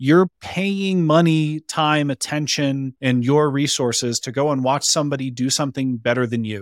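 A man with an American accent and a normal speaking voice, fairly high in pitch with ordinary pitch variation, in a dry, close sound with no echo on a very clean recording with a silent background. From Colorado, Boulder. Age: 30s. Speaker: business consultant and coach. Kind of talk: casual chat.

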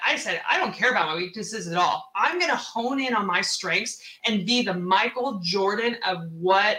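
A woman with a medium pitch talks at a moderate pace in an animated tone with lively intonation, with noticeable background noise and audible room echo. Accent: American. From US Pacific Northwest, Seattle. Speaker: real estate investor. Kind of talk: interview.

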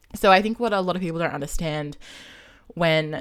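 Very deep, low pitch from a woman, with ordinary pitch variation. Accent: Australian. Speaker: podcaster and gender studies student. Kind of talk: casual interview chat. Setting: online call.

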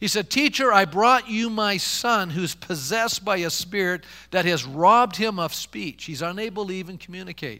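Here a man speaks with a raised, projected voice, a high pitch and a bright, sharp tone. His intonation is lively, with hardly any pauses, in a very clean recording with a silent background. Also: moderate pace. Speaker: pastor. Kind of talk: sermon. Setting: church. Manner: animated, impassioned preacher building momentum; call-and-response, rhetorical questions to congregation.

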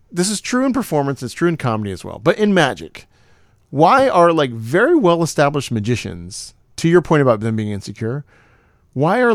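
In a very clean recording with a silent background, a man with a fairly high voice makes very wide pitch swings. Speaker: magician and podcast host. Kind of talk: casual chat.

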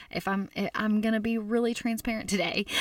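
A woman with an American accent speaks in an animated, passionate tone. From US South, Arkansas. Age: 30s. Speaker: food blogger and speaker. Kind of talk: conference talk.

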